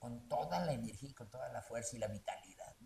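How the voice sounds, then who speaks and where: A man, somewhat breathy. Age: 60s. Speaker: theatre actor and director. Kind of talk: interview. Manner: halting.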